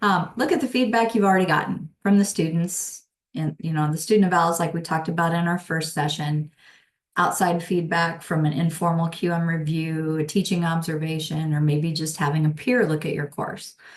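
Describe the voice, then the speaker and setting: A normal speaking voice from a woman, fairly low in pitch, fairly quick, with ordinary pitch variation. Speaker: instructional designer. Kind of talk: webinar presentation.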